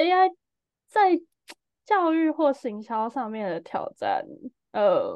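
Very slowly and with long, frequent pauses, a woman speaks in a high pitch that swings very widely. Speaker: startup founder. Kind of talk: casual chat.

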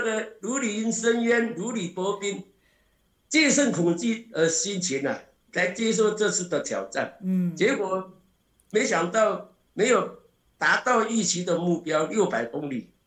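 Here a man with a high pitch talks at a very slow pace with ordinary pitch variation. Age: 60s. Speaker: ultramarathon runner. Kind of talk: casual interview. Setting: video call.

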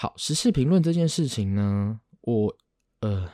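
Recorded very cleanly against a silent background, with a dry, close sound and no echo, a man with a Taiwanese accent speaks at a moderate pace in a dark, mellow tone of medium pitch, his voice making very wide pitch swings. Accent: Taiwanese Mandarin. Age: 30s. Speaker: podcast host. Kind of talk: casual solo monologue.

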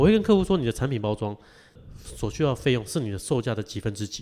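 A man talks at a very fast pace and a medium pitch. His tone is dark and mellow. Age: 30s. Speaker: packaging business owner. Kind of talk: interview.

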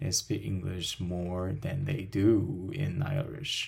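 A man speaks very slowly with a Chinese accent. His voice is fairly low-pitched and somewhat breathy. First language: Mandarin Chinese. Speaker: language teacher and podcast host. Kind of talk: casual interview chat.

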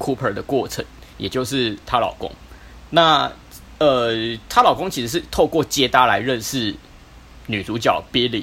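Using lively intonation at a medium pitch, a man talks at a moderate pace with long, frequent pauses. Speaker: podcast co-host. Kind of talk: casual chat.

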